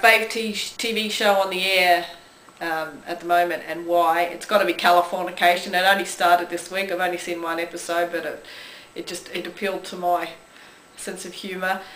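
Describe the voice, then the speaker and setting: A woman with an Australian accent speaks at a moderate pace in a fairly low pitch, her intonation monotone and flat. Her loudness swings widely, and room echo is audible. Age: 40s. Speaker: vlogger. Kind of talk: casual talk to camera. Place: home room. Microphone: camera far.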